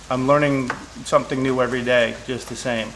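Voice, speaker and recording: A man's voice against noticeable background noise. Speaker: chef. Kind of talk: casual cooking show talk.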